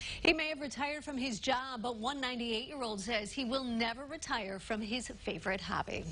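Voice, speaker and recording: Amid noticeable background noise, a woman talks fast in a high voice, keeping a fairly quick pace with hardly any pauses. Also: ordinary pitch variation. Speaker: TV news anchor. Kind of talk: TV news anchor read.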